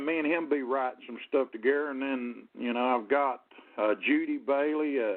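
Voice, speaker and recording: A man with a Southern US accent talks at a fairly high pitch. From US South, Jacksonville, Florida (born in Ohio). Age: 60s. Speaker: singer-songwriter. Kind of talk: radio interview. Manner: halting, many fillers and repeats.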